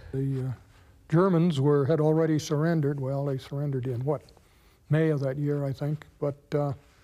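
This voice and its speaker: A man's dark, mellow voice at a moderate pace, monotone and flat in intonation. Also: fairly high pitch for a man. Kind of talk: documentary interview testimony.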